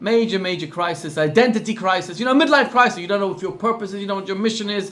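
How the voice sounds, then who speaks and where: A man talks very fast in a South African accent, his pitch high with ordinary variation. Background noise is noticeable. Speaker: rabbi. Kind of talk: class talk with storytelling.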